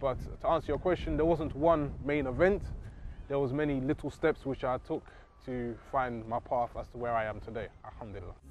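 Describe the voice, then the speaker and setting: This speaker has a London accent and ordinary pitch variation. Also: man, medium pitch for a man. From England (London). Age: 30s. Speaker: convert to Islam, engineer. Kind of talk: testimony.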